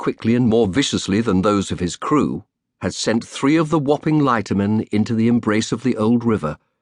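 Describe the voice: Over a quiet background, the speaker is doing plain reading aloud.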